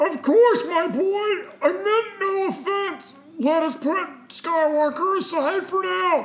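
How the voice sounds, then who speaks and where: Someone speaks in a put-on character voice pitched extremely high. The delivery runs fairly slow. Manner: smooth, manipulative, feigning warmth.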